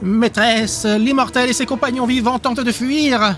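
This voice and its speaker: Over clear music in the background, a man puts on a nasal character voice at an extremely high pitch, moving at a moderate pace. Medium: read story. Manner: drawling, bitter.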